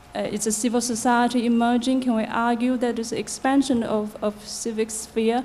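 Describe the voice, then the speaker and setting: Amid noticeable background noise and audible room echo, a woman speaks at a fairly high pitch. Her intonation is monotone and flat, at a moderate pace with hardly any pauses. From China. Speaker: researcher, audience member. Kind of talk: audience question at conference. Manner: quiet.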